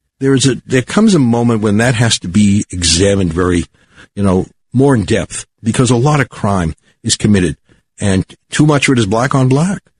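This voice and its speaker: This man's medium-pitched voice is somewhat breathy and has lively intonation, with a dry, close sound and no echo. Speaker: rabbi and radio host. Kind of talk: radio talk show, co-host chat. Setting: radio studio.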